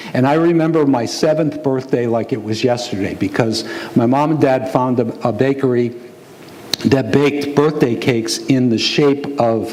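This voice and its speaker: A man with a medium pitch speaks at a moderate pace with fairly even intonation and very even loudness. There is noticeable background noise and audible room echo. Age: 60s. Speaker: pastor. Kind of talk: sermon.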